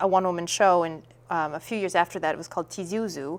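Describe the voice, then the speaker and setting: With a Minnesota accent, a woman speaks at a medium pitch in a very clean recording with a silent background. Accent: Minnesotan American. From US Midwest, Saint Paul, Minnesota. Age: 30s. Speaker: actress and playwright. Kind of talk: interview.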